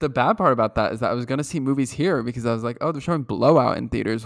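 A man with vocal fry speaks at a very fast pace, the sound dry and close with no echo on a very clean recording over a silent background. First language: English; speaks some French as second language. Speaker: podcast host. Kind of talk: casual chat.

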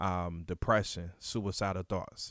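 The intonation is monotone and flat, captured in a very clean recording with a silent background. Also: man. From Virginia (Suffolk). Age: 30s. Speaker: youth mentoring program founder. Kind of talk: casual interview, personal testimony.

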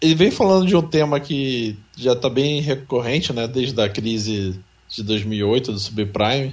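A man talks at a fairly slow pace in an unremarkable speaking voice. His pitch is medium, and his intonation is lively. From São Paulo, Brazil. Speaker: podcast co-host. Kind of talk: casual chat.

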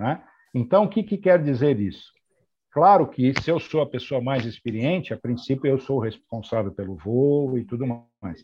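A somewhat breathy man at a medium pitch, moderate pace and very wide pitch swings. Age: 60s. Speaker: airline pilot and flight training coordinator. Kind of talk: interview.

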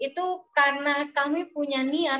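A woman's voice, high in pitch. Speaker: university student and guest. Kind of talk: interview answers. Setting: video call.

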